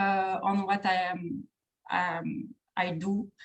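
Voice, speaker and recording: A woman talks in a French accent. Her voice is somewhat breathy. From France. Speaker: trainer at an organization, webinar speaker. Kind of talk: webinar presentation. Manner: halting, many fillers and repetitions.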